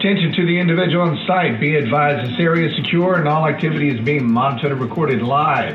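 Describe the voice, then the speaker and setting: A man with a fairly high pitch talks at a very fast pace with hardly any pauses. His loudness stays very even and his pitch varies in an ordinary way, over noticeable background noise. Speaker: remote security guard. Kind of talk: security warning announcement. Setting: PA system. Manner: calm but firm.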